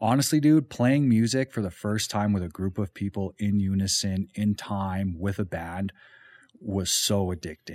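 A man with a western Canadian accent, fairly low in pitch with ordinary variation, at a moderate pace in a dry, close sound with no echo. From Calgary, Alberta, Canada. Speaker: painting business owner and musician. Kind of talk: casual chat. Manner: casual.

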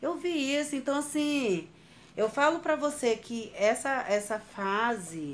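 Very wide pitch swings from a woman. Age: 30s. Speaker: domestic violence survivor. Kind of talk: testimony. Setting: at her home. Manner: casual, conversational.

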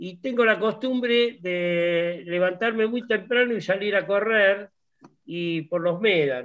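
Here a man speaks very slowly. His voice is high, with ordinary pitch variation. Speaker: lawyer and sailing club founder. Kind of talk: casual chat.

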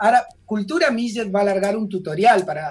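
A man with an Argentine accent speaks in a high pitch. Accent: Rioplatense Argentine Spanish. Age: 40s. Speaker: actor and singer. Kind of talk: radio interview. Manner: animated.

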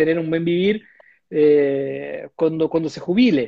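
A man with a Portuguese accent speaks at a high pitch with lively intonation in a dry, close sound with no echo against a quiet background. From Brazil. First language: Portuguese (speaking Spanish). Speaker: bank investment executive. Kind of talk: interview. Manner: halting.

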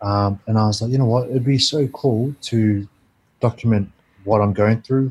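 A man speaks with a fairly low, somewhat breathy voice. His intonation is fairly even. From Christchurch, New Zealand. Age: 20s. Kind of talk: casual interview chat, personal storytelling. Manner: relaxed, conversational, uses 'bro'.

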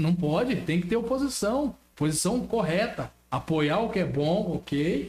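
The speech moves at a fairly slow pace with hardly any pauses and lively intonation. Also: man, high pitch for a man, very even loudness. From Brazil, São Paulo state. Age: 20s. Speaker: local politician. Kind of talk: political talk on a live stream.

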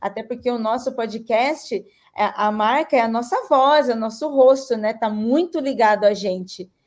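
A woman at a fairly slow pace with fairly high pitch and ordinary pitch variation. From Vale do Ribeira, São Paulo state, Brazil. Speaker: podcaster and advertising agency owner. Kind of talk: panel discussion.

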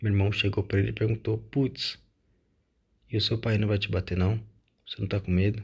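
A man with a fairly low pitch and vocal fry speaks at a fairly quick pace in a monotone, flat intonation. He takes long, frequent pauses against a quiet background. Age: 20s. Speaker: podcaster. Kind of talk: personal monologue.

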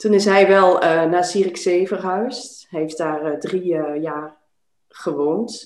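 The room echo is audible as a woman talks at a fairly slow pace. Her intonation stays fairly even. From Netherlands, Twente (Enschede). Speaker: life coach. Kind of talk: interview conversation.

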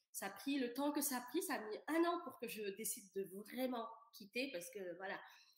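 Pitched high, a woman speaks with lively intonation at a moderate pace. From Senegal. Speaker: coach on vaginismus. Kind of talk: casual interview chat.

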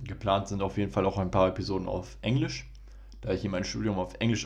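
A man speaks at a very fast pace. His fairly low voice carries vocal fry. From Germany, Ruhr area (Bochum). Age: 20s. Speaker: podcast host, medical student. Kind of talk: solo podcast intro monologue.

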